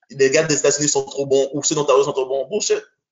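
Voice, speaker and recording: This man's voice is fairly high in pitch for a man, with ordinary pitch variation. He speaks at a very fast pace. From Montreal, Quebec (born in Haiti). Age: 30s. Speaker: basketball coach. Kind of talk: casual chat. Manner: animated.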